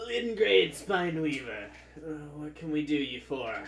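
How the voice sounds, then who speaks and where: Through clear background noise, a man puts on a character voice at a fairly high pitch and moderate pace. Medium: actual play.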